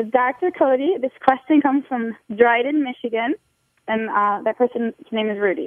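A woman's high-pitched voice with an American accent and lively intonation. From Ohio, Toledo. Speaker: customer service representative reading listener questions. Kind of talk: reading listener questions on radio. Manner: fast talker; animated.

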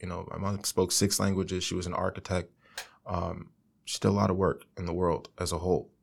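On a very clean recording with a silent background, a man with an American accent talks at a fairly quick pace. His very deep, low voice stays monotone, with flat intonation. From South Florida. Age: young. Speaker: consulting firm executive. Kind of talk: interview.

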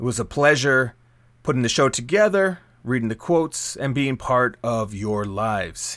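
A man with an unremarkable speaking voice, medium pitch and lively intonation talks at a moderate pace on a very clean recording with a silent background. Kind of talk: radio DJ patter between songs, with show intros and quote readings. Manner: warm, smooth and upbeat, with a measured, welcoming pace.

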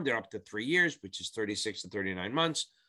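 A man's bright, sharp voice with vocal fry, very wide pitch swings and a fairly quick pace, on a very clean recording with a silent background. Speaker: exam prep tutor. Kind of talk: tutorial. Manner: fast; animated.

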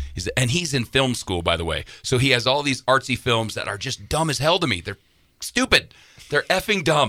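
This man's medium-pitched voice carries vocal fry and swings very widely in pitch. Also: moderate pace. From Wyoming. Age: 40s. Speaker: musician. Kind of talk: casual interview chat. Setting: studio. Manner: animated storyteller.

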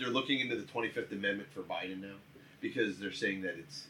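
This man talks at a moderate pace in a normal speaking voice, pitched at a medium level. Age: 40s. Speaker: podcast guest. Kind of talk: casual chat.

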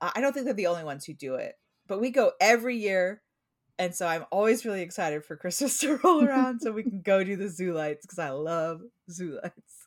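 A woman's fairly quick, medium-pitched voice with a Pacific Northwest accent and lively intonation. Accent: American, Pacific Northwest.

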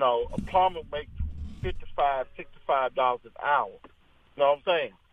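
A man talks in a Southern US accent, leaving long, frequent pauses. Noticeable background noise runs underneath. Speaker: radio show caller. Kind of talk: casual call-in chat. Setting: phone call. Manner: animated.

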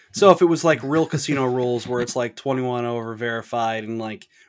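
an unremarkable speaking voice at a fairly quick pace, on a very clean recording with a silent background. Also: man. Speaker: podcast host. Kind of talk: casual chat.

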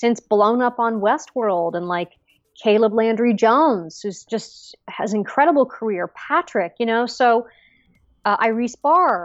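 A woman with an American accent and a plain, everyday voice, fairly high in pitch, lively in intonation, at a fairly slow pace. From Los Angeles, US. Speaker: actress. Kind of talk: casual interview.

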